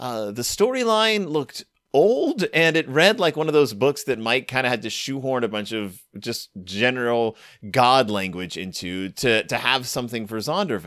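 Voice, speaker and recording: An enthusiastic man at a moderate pace, medium in pitch with very wide pitch swings, on a very clean recording with a silent background. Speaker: podcast host. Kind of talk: casual chat.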